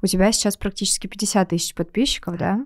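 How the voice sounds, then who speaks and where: Against a quiet background, a woman with an unremarkable speaking voice talks at medium pitch and a fairly quick pace, her intonation fairly even. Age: 20s. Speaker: podcast host and marketer; podcast host. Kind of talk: podcast interview. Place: studio. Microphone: studio mic.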